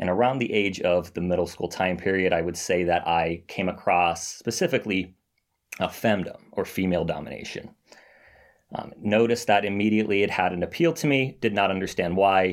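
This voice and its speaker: Recorded very cleanly against a silent background, this voice moves at a fairly quick pace with ordinary pitch variation. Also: man. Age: 20s. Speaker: finance worker and recovering financial domination addict. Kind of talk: interview.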